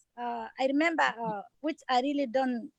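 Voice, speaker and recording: A high-pitched woman with a non-native accent talks with ordinary pitch variation in a dry, close sound with no echo. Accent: foreign. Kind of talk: town hall interview. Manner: halting, many fillers.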